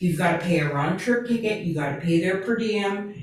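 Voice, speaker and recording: A woman speaks at a medium pitch with lively intonation, and the room echo is audible. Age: 70s. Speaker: city council member. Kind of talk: council meeting discussion.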